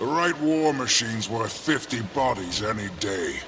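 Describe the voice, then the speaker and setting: A man speaks in a put-on character voice. Clear background noise runs underneath. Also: medium pitch for a man, moderate pace. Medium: machinima. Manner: proud, formal.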